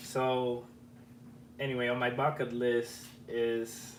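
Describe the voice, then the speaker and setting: Amid noticeable background noise and audible room echo, a man speaks at a medium pitch with an Argentine accent. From Argentina. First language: Spanish. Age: 30s. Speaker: electronics YouTuber. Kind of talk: live stream chat. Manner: casual, repetitive false starts.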